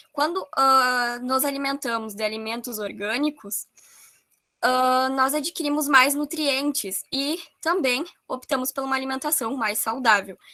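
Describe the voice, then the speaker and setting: Pitch variation is ordinary and the pace fairly slow. The tone comes across bright and sharp in a raised, projected voice. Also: woman, high pitch for a woman. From Brazil, rural area. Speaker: course presenter. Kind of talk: online workshop presentation. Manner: hesitant fillers.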